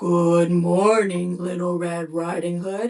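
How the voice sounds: A man uses a put-on character voice that is gruff and high-pitched for a man, with monotone, flat intonation and a fairly slow pace.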